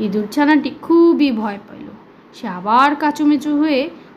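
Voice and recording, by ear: Audible room echo carries a woman's high-pitched voice with lively intonation.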